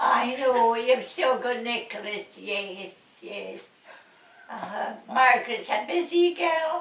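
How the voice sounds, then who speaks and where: A woman with a Scottish Highland accent speaks very slowly in a high voice with lively intonation. Her loudness swings widely, and background noise is noticeable. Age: 90s. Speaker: elderly local resident. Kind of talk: casual chat.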